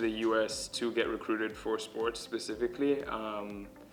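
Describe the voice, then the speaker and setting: Over music in the background, a man with a medium pitch speaks at a moderate pace and with fairly even intonation. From Kenya. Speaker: college student, former soccer player. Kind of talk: interview answer.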